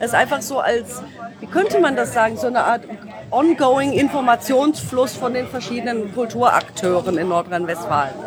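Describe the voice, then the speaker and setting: Crowd noise fills the background as a woman speaks at a moderate pace. Her fairly high voice has lively intonation. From Germany, Düsseldorf. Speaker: musician's child, former community radio host. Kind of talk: casual interview. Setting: convention floor. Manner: animated, hesitant.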